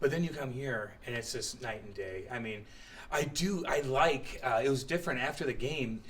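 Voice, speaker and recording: In an American accent, a man speaks at a moderate pace with a fairly high pitch and ordinary pitch variation, with audible room echo around him. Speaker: ice hockey player. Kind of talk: casual chat.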